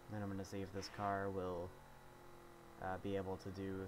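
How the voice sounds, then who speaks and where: A man speaks at a fairly quick pace in a very deep, low voice. Room echo can be heard. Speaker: gaming streamer. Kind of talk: gameplay commentary. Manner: casual, halting with fillers.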